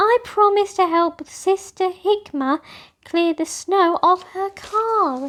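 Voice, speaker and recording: A put-on, squeaky character voice moves at a fairly slow pace with ordinary pitch variation. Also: woman, extremely high pitch for a woman. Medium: read story. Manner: earnest, apologetic.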